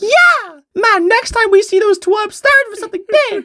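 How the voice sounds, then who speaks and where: Using a put-on character voice, a woman speaks at a moderate pace. Her voice is squeaky and extremely high-pitched. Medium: solo performance.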